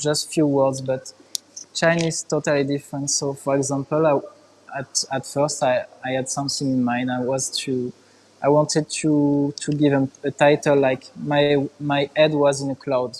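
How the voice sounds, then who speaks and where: A man with a French accent speaks at a fairly slow pace in a monotone, flat intonation. Noticeable background noise is present. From France. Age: young. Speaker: artist. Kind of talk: interview. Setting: art museum, live stream. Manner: halting.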